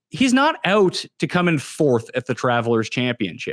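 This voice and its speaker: A man with a Canadian accent speaks with very wide swings in pitch. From Canada. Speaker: fantasy golf analyst. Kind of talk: casual podcast chat.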